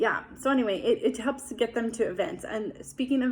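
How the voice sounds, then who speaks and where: A woman talks at a moderate pace with vocal fry in her voice. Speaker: breastfeeding support group leader. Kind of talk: informal training talk to fellow volunteers.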